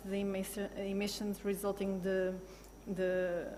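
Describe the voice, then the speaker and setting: Speaking at a fairly slow pace, a woman has a non-native accent. Her pitch is medium. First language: not English. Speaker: football club sustainability manager. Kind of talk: panel discussion. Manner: halting, many fillers and restarts.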